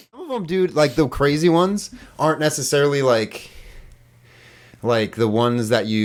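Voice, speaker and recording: A man speaks at a moderate pace with a slight Upper Midwestern accent. His intonation is lively. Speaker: podcast host. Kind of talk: casual chat.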